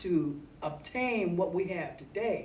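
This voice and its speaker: With lively intonation and a medium pitch, a woman speaks in an American accent over noticeable background noise. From Ohio, US. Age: 60s. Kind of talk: interview answer.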